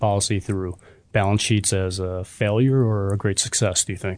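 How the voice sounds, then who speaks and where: Against a quiet background, a man with an ordinary speaking voice talks at a fairly quick pace and fairly low pitch, with fairly even intonation. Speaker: podcast co-host. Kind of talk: interview.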